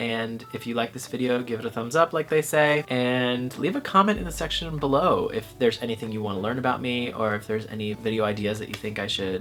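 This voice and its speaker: Music plays in the background as a man talks at a very fast pace with hardly any pauses. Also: medium pitch for a man, ordinary pitch variation. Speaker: YouTuber vlogger. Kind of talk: casual vlog to camera. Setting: bedroom at home. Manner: quiet indoor voice; animated, playful.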